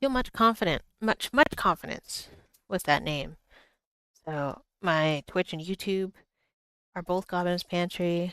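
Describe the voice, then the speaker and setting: In an American accent, a woman with a fairly low pitch speaks at a fairly slow pace with long, frequent pauses and ordinary pitch variation. The very clean recording has a silent background and a dry, close sound with no echo. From Boston. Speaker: artist streamer. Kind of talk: live art stream tutorial. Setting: livestream. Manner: casual, rambling.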